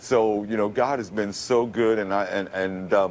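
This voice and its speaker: A man with a New York accent, over noticeable background noise. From Brooklyn, New York. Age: 50s. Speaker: radio announcer. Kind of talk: TV interview answer.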